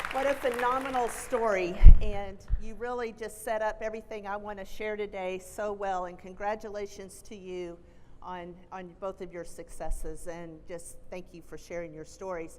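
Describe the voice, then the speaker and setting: With a Texan accent, a woman of medium pitch speaks at a moderate pace, with ordinary pitch variation, big swings in loudness and audible room echo. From Texas. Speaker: college president. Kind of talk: keynote speech. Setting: stage with audience.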